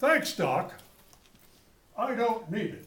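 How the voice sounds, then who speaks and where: A man performs a put-on character voice pitched high. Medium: read story.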